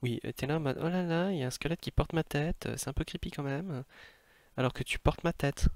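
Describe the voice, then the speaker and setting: Delivered at a very fast pace with ordinary pitch variation, the speech comes on a very clean recording with a silent background and a dry, close sound with no echo. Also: man, fairly high pitch for a man. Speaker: streamer. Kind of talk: casual gaming stream talk.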